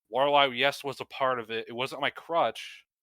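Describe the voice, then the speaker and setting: A man speaks with a Northeastern US accent at a fairly quick pace, in a bright, sharp tone with fairly even intonation. The recording is very clean, with a silent background. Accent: Northeastern US accent, drops word endings. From US Northeast. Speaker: gaming podcast co-host. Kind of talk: casual chat.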